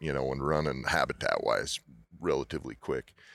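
A man talks with an American accent and vocal fry. His intonation is monotone and flat. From Utah. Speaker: auctioneer. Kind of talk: casual interview. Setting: at expo, recorded in person. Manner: fast talker.

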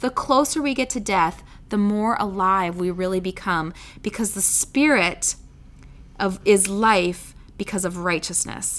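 Here a woman talks in an animated tone at a medium pitch. Her pitch variation is ordinary. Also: very clean recording, silent background. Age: 40s. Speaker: Bible teacher podcast host. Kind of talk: Bible teaching monologue.

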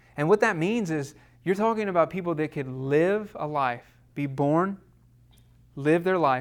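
A man speaks with a Southern US accent and lively intonation. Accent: US South. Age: 30s. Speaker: church class teacher. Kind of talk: lecture. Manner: halting.

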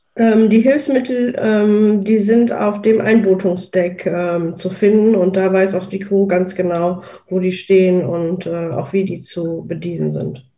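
With audible room echo, a woman speaks at a medium pitch and a very slow pace, with ordinary pitch variation and hardly any pauses. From Rhineland, Germany. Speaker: accessible travel blogger. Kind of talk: casual group talk. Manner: halting, many fillers.

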